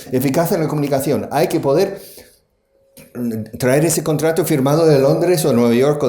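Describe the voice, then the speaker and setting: Audible room echo around a man's fairly high, dark, mellow voice with vocal fry, lively intonation and a moderate pace. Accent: strong non-native. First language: English (speaking Spanish). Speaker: conference speaker, language school founder. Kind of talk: conference talk. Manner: animated.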